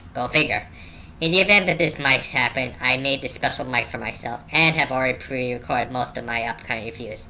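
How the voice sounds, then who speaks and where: A put-on character voice moves at a moderate pace against clear background noise. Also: man. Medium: solo performance. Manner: wry, casual.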